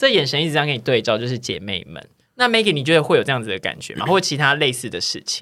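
Over a silent background in a very clean recording, a man with a fairly high pitch talks at a very fast pace in a bright, sharp tone, his pitch swinging very widely, with vocal fry. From Taiwan, Tainan. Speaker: podcast host. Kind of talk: casual chat.

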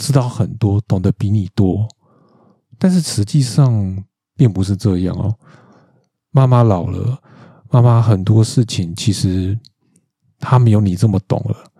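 Speaking with a Taiwanese accent, a man uses a fairly low pitch, a dark, mellow tone and a somewhat breathy delivery at a fairly slow pace, with ordinary pitch variation and long, frequent pauses, in a dry, close sound with no echo. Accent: Taiwanese Mandarin. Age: 40s. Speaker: podcast host. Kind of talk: solo monologue podcast. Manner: casual, frequent filler particles.

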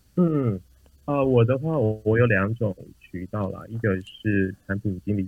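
Talking with ordinary pitch variation, a man speaks at a fairly low pitch. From Taiwan. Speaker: product manager. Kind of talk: interview. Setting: remote recording.

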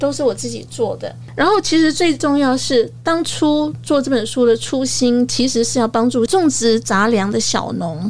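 With music playing in the background, a woman talks at a moderate pace with hardly any pauses. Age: 60s. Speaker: senior magazine editor. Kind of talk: interview.

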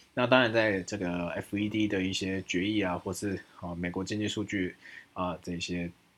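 This man's pitch is very deep and low, his intonation fairly even. He speaks at a moderate pace with a Taiwanese accent. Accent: Taiwanese Mandarin. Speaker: stock market podcast host. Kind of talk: market analysis monologue. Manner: many filler sounds.

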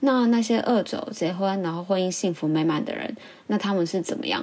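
A woman's voice at medium pitch with lively intonation. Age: 20s. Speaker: podcast host. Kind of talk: casual monologue.

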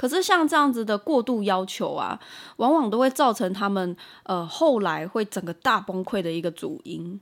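A woman's fairly high voice swings very widely in pitch on a very clean recording with a silent background. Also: moderate pace. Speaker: parenting podcast host. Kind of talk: solo podcast talk.

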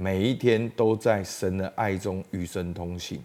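The recording is very clean with a silent background, carrying a man's dark, mellow tone. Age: 40s. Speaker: pastor. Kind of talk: sermon.

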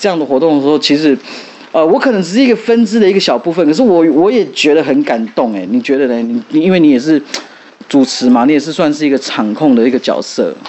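Over noticeable background noise, a man with a fairly high voice talks at a very fast pace, his pitch swinging very widely. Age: young. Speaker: podcast host. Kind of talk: casual chat.

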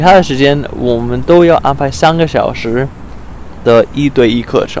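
Noticeable noise fills the background. Over it, a man talks at a very slow pace. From US, Arizona. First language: English (speaking Chinese). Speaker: exchange student. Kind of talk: casual interview. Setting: outdoors in a park. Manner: halting, many fillers.

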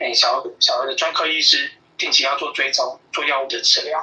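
The speaker talks at a fairly quick pace with a Taiwanese accent over noticeable background noise. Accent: Taiwanese Mandarin. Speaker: pediatrician. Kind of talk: interview. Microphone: clear phone line.

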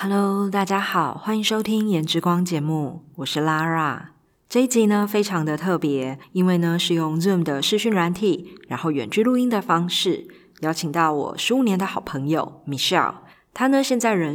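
Her fairly low pitch and lively intonation carry as the woman speaks at a moderate pace. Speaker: podcast host. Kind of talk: casual chat; scripted intro. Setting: video call.

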